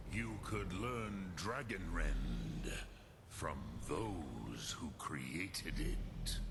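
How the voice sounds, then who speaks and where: A put-on character voice speaks at a very slow pace over loud background noise. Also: man, very deep, low pitch for a man. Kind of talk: solemn epic fantasy. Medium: video game. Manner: slow, measured, mixes in dragon words.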